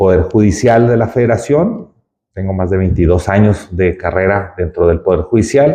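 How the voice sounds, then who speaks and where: At a fairly slow pace, a man speaks in a fairly low pitch with ordinary pitch variation. His tone is dark and mellow, and somewhat breathy. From Mexico, Ciudad Juárez, Chihuahua. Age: 40s. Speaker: judge and judicial candidate. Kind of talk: interview. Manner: halting, many fillers.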